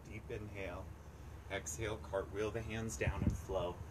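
Loud background noise surrounds the recording. A man speaks at a moderate pace. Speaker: yoga instructor. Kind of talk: live-streamed outdoor yoga class cueing poses breath by breath. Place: waterside.

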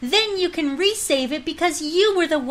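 This is a put-on character voice, female-sounding and high-pitched for a woman. She speaks at a moderate pace.

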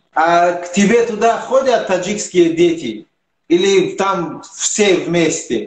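A man at a high pitch and very slow pace, with ordinary pitch variation and audible room echo. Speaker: sports channel interviewer. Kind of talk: interview. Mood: friendly, curious. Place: home room. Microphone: video call.

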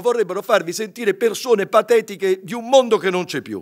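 Over a quiet background, a man speaks at a fairly quick pace. His pitch is high. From Venice, Italy; Italy. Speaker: journalists' union leader; speaker. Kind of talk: impassioned speech. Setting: stage with audience. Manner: animated. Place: hall. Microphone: podium.

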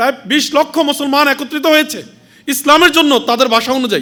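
A man speaks in a raised, projected voice at an extremely high pitch. His tone is bright and sharp. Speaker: religious organization leader giving speech. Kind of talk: speech to a women's conference. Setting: stage with audience.

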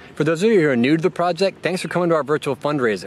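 A man is speaking with light background noise. The sound is dry, with no echo. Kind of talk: scripted welcome address. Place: garden.

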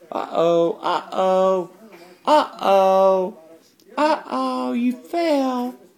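Her pace is very slow. The woman's voice shows very wide pitch swings. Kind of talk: parent talking to toddler. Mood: warm, playful, laughing. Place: home room. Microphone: phone near.

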